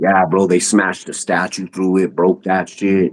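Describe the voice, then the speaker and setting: A man in a normal speaking voice keeps a fairly low pitch and a moderate pace. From US West, North Denver, Colorado. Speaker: YouTuber, podcast guest. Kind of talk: casual chat, storytelling.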